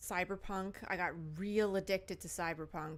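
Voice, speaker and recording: A woman's mumbling at fairly low pitch, very slow and flat in monotone, on a very clean recording with a silent background. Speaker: gaming streamer. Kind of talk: live stream gameplay chat.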